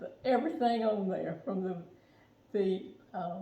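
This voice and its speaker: A woman with an American accent, fairly high in pitch and fairly slow, amid noticeable background noise. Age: 80s+. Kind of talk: interview answer.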